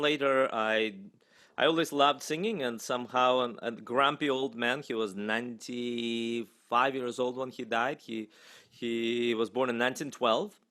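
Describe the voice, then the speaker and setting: A man speaks in a Russian accent at a fairly slow pace. His pitch sits in the medium range, with ordinary variation. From Russia, Moscow. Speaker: singer and voice professor. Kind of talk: interview.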